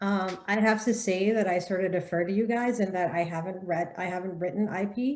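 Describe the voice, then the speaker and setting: With an ordinary speaking voice, a woman talks at a medium pitch and fairly quick pace, her intonation fairly even and with hardly any pauses. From Sierra Leone, moved to the US at nine. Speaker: young adult author on a festival panel. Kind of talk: panel discussion. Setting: book festival panel.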